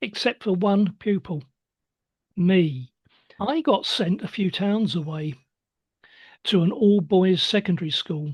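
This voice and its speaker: In a quiet background, a woman of medium pitch speaks at a fairly slow pace with long, frequent pauses. Her voice is somewhat breathy and her intonation lively. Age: 70s. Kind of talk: interview.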